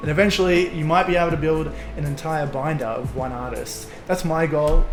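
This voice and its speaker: Amid noticeable background noise and audible room echo, a man talks in a fairly high voice. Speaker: Pokemon card collector YouTuber. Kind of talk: tutorial. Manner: fast; animated.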